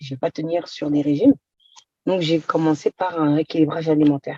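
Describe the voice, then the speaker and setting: A woman's very deep, low voice in a dark, mellow tone, with a dry, close sound and no echo. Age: 30s. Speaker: patient giving testimonial. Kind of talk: testimony.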